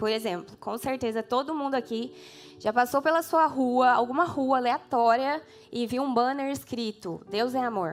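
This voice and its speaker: In a São Paulo countryside accent, a woman speaks at a moderate pace, her high pitch showing ordinary variation. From interior of São Paulo state, Brazil. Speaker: preacher. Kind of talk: sermon. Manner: casual, with hesitations.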